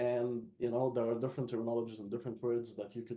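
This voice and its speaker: A man speaks very fast in an Arabic accent, at a medium pitch. His intonation is monotone and flat, with a dark, mellow tone. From Egypt. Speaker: localization expert. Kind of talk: webinar panel discussion.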